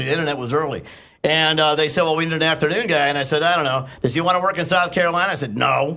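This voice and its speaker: This man talks at a very fast pace with fairly even intonation. His voice is fairly high-pitched, with a bright, sharp tone. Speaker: former radio host, now podcaster. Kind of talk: casual radio banter, storytelling anecdote. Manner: conversational, humorous, talkative.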